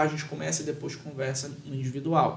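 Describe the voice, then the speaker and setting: There is audible room echo around a man's fairly high voice. He is somewhat breathy and keeps a moderate pace. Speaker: lawyer and public speaking teacher. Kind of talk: podcast interview. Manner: measured with many pauses.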